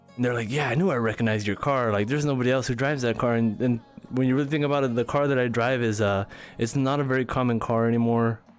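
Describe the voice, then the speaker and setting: Noticeable background noise sits under a man speaking at a very fast pace and medium pitch, with fairly even intonation and very even loudness. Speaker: streamer. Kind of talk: live stream chat. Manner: casual, halting with fillers.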